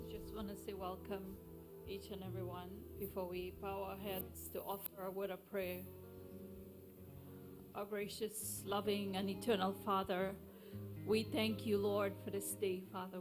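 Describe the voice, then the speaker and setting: A woman speaks at a moderate pace. Clear music can be heard behind her. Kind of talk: public prayer. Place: church.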